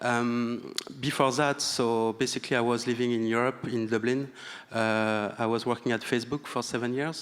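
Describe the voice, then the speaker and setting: Speaking with a French accent, a man at medium pitch keeps a monotone, flat intonation, very even loudness and a moderate pace. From France. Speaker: tech partnerships manager, panelist. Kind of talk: panel discussion. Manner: halting, many fillers.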